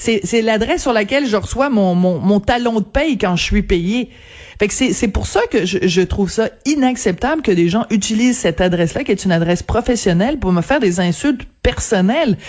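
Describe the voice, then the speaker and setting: This woman has an unremarkable speaking voice, fairly high in pitch, with lively intonation. She keeps a moderate pace and very even loudness. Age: 50s. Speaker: newspaper columnist. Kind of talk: radio interview.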